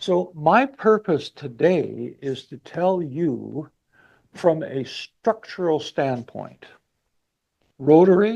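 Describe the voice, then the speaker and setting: A man with a Manitoban accent speaks at a fairly high pitch in a dark, mellow tone. His intonation is lively, over a quiet background. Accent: Canadian (Manitoba). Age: 70s. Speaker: motivational speaker. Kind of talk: speech to audience. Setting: club meeting with live and online audience.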